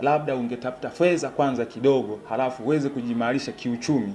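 A man speaks in a dark, mellow tone with ordinary pitch variation over light background noise. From Tanzania, Shinyanga rural; Tanzania. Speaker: parliamentary aspirant. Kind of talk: interview. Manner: halting. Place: home room.

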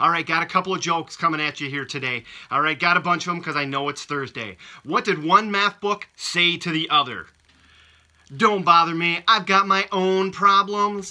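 A man speaks with a high pitch and a bright, sharp tone against a quiet background. His pace is moderate and his pitch variation ordinary. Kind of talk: casual video message with jokes. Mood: playful, laughing at jokes. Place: home room. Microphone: phone near.

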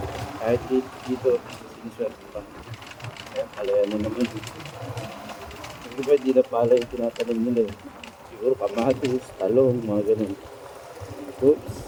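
Amid noticeable background noise, the speech is fairly slow and monotone, with flat intonation and long, frequent pauses. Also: man, medium pitch for a man. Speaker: vlogger. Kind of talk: casual vlog narration. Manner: halting.

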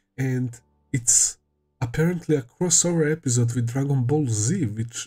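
A man speaking at a fairly slow pace, faint music in the background. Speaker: anime reaction youtuber. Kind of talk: casual vlog chat. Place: home room. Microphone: headset.

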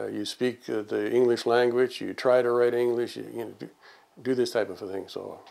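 A man speaks at a moderate pace in a monotone, flat intonation. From North Dakota, rural German-Russian farm community. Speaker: oral history interviewee, former farm boy; interviewee. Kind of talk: oral history interview. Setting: in person at his home. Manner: halting, with many fillers. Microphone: lapel.

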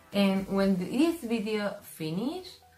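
There is audible room echo and faint music in the background as a woman speaks very slowly with ordinary pitch variation. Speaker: skincare creator. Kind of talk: tutorial. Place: shop. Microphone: camera far.

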